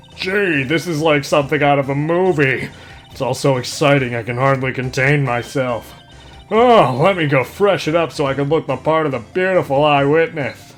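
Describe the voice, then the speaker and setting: A man does a put-on character voice, fairly high in pitch, at a moderate pace. Clear music plays in the background. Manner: gushing, excited.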